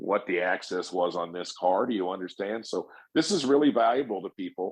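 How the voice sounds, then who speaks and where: With lively intonation and a moderate pace, a man speaks in an unremarkable speaking voice. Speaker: paintless dent repair technician and trainer. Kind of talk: podcast conversation.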